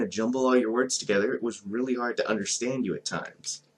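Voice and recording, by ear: Moving at a fairly quick pace, a man speaks at a medium pitch with a slightly husky edge.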